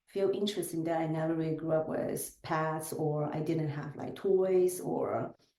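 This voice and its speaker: A woman with a Chinese accent and a fairly low pitch. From southern China. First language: Chinese dialect. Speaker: business executive. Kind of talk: podcast interview.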